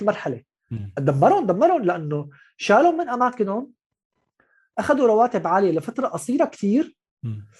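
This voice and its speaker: In a Syrian accent, a man speaks at a moderate pace with very wide pitch swings. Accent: Syrian Levantine Arabic. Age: 30s. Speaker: writer and journalist. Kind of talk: casual interview. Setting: video call.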